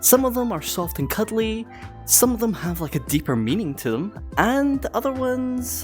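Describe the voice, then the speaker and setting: Moderate-paced speech over music in the background. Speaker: furry YouTuber. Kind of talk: casual commentary to camera.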